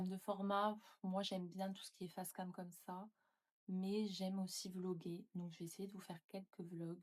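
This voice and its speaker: A woman's somewhat breathy, medium-pitched voice at a moderate pace, with monotone, flat intonation. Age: 20s. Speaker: YouTuber and nurse. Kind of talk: casual vlog talk to camera.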